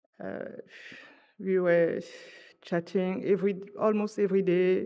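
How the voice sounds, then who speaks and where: A woman's medium-pitched voice in a French accent, fairly slow, with monotone, flat intonation. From France. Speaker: friend giving a tribute. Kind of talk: eulogy. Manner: halting.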